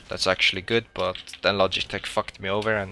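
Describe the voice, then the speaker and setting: A man with a bright, sharp tone at a very fast pace. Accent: non-native. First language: not English. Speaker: video game streamer. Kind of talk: live gameplay commentary. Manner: monotone.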